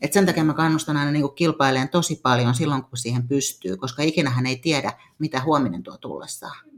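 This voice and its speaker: A woman speaks at a fairly quick pace in a very deep, low voice. Her pitch varies in an ordinary way. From Finland, Tampere. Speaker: fitness athlete and coach. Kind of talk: casual interview. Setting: studio.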